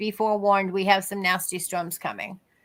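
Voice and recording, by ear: In a Boston accent, a woman talks at a fairly quick pace with a medium pitch.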